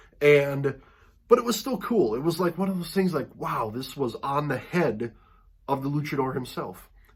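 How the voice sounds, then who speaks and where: His intonation is lively as he speaks at a moderate speed. This man sounds somewhat breathy. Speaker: wrestling mask collector, channel host. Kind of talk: casual video monologue. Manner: casual, hesitant with fillers.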